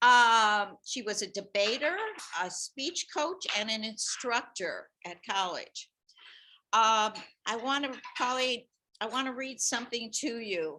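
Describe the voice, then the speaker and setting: A woman speaks loudly at a very slow pace, her fairly high voice bright and sharp in tone. Her intonation is lively. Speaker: former teacher and nurse giving a tribute. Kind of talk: tribute speech at a meeting. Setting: meeting room with audience, also on computer call.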